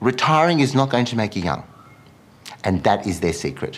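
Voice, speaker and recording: His pitch moves across a very wide range. The man talks in an Australian accent. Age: 50s. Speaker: bridal wear designer. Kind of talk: casual chat.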